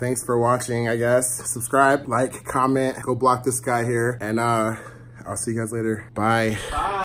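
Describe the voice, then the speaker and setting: A man is speaking. His pace is fairly slow and his intonation fairly even. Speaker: vlogger. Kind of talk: casual vlog chat.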